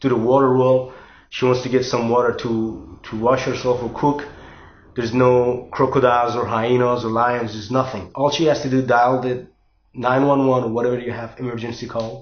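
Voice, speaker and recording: The speaker has a non-native accent and talks fairly quickly in a flat, monotone way. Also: man. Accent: foreign. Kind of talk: casual talk to camera. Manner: hesitant, repetitive.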